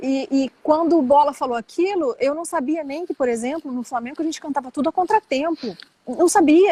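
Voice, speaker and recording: A woman is speaking. Her pace is fairly quick. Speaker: flamenco singer. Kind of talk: interview. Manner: casual, conversational.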